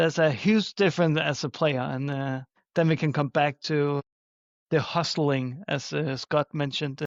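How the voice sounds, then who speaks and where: A man speaks with a Danish accent. His pace is moderate and his intonation fairly even. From Denmark. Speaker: flag football official. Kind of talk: podcast interview. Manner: hesitant, frequent uh fillers.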